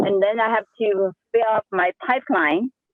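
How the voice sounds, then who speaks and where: A woman's voice at a medium pitch. She speaks at a fairly slow pace. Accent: strong Chinese. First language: Sichuan dialect (Chinese). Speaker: real estate agent. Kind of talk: casual group discussion. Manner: energetic.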